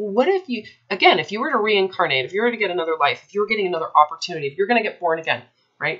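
Over a quiet background, a woman talks at a very fast pace with lively intonation. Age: 30s. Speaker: eating disorder recovery coach; coach in consult. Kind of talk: one-on-one coaching consultation. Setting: recorded call with a client. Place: home room. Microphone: webcam.

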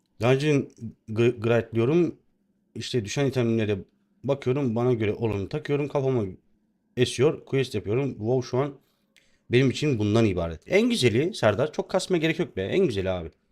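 Heard against a quiet background, a man with a plain, everyday voice speaks at medium pitch and a moderate pace. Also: lively intonation. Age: 30s. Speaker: game streamer. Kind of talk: live gaming stream chat. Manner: casual, chatty.

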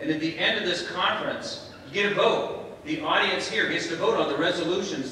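A man with a high voice speaks at a moderate pace in a strongly echoing room with light background noise. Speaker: conference host. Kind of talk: welcome speech to an audience. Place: hall. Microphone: camera far.

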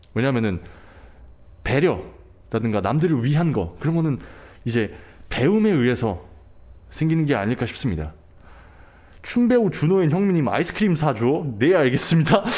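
Using an animated tone with very wide pitch swings, a man with a fairly high pitch speaks at a moderate pace with long, frequent pauses. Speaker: livestreamer. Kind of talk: casual livestream chat with viewers. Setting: online livestream. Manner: animated, switches between languages. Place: home room. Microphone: studio mic.

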